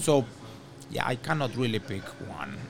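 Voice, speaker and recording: This male speaker has a Spanish accent. His voice is pitched in the medium range. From Venezuela. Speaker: orchestra conductor. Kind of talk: interview. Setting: on location in a hotel.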